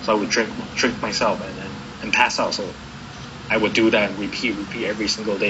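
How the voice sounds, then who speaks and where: Noticeable background noise and audible room echo fill the clip. A man speaks at a very fast pace in a fairly low, monotone, flat voice. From Taiwan. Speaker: recovering addict sharing his story. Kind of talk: interview testimony. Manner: halting, many repetitions.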